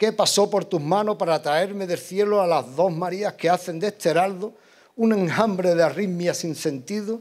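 A man's high voice at a fairly slow pace, with ordinary pitch variation against a quiet background. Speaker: pregonero giving a religious devotional proclamation. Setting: stage with audience in church or hall. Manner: declamatory, rhythmic and emotive, with ceremonial fervour. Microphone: podium.

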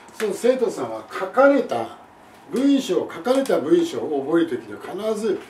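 Light background noise and audible room echo surround a man whose pitch swings very widely. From Japan. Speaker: English teacher. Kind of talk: lecture. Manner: formal. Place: home room.

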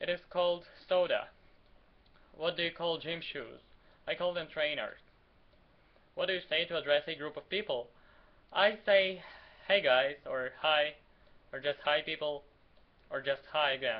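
Speaking at a moderate pace with long, frequent pauses, a man with a Ukrainian accent uses ordinary pitch variation. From Ukraine. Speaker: vlogger. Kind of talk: casual talk to camera. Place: home room. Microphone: webcam.

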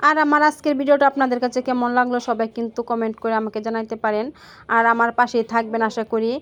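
In a very clean recording with a silent background, a woman speaks at a fairly high pitch in a monotone, flat way. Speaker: family lifestyle vlogger. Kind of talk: vlog voiceover narration.

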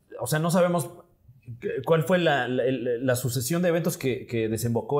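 Against a quiet background, a man with a Mexican accent speaks with ordinary pitch variation. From Mexico. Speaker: comedian and scriptwriter; podcast guest. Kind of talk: casual chat. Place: studio. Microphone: lapel.

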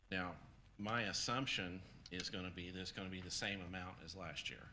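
With audible room echo, a man speaks at a moderate pace in a very deep, low pitch, his tone bright and sharp and his intonation fairly even. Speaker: county program director presenting grant. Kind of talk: public meeting presentation. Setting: county council meeting room. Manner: soft-spoken.

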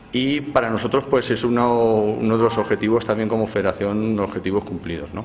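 Amid light background noise, a man speaks at a fairly quick pace with hardly any pauses and fairly even intonation. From Navajas, Alto Palancia, Valencia region. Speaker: triathlon federation representative. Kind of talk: press statement. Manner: hesitant with fillers. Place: hall. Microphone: handheld.

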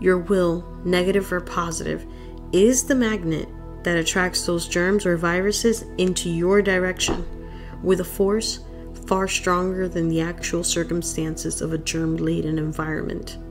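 A soft-spoken woman talks at a moderate pace with fairly even intonation. Music plays in the background. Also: fairly low pitch for a woman. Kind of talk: audiobook reading.

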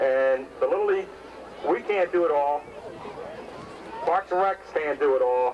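A man's high voice at a moderate pace, ordinary in pitch variation, with light background noise. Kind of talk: public address speech. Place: stadium.

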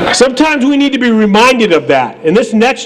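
A man speaks loudly at a moderate pace. Light background noise can be heard. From New Hampshire. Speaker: rally emcee. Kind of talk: rally speech. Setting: outdoor rally with crowd. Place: street. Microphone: podium.

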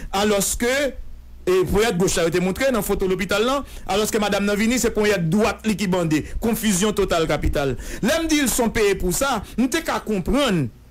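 Very fast delivery with lively intonation and very even loudness. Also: man. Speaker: political commentator. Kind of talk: radio interview.

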